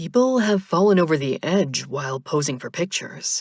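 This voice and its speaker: A woman's put-on character voice, fairly low in pitch, at a moderate pace with very wide pitch swings. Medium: read story. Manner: literal, matter-of-fact.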